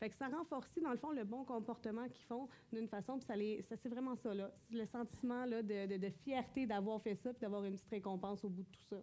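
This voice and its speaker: Fairly high-pitched, a woman talks at a fairly quick pace with ordinary pitch variation. Her tone is dark and mellow. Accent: Quebec. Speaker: mother, school support worker. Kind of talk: church talk, conversational.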